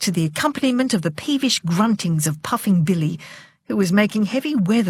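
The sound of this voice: Lively intonation colors this unforced reading voice.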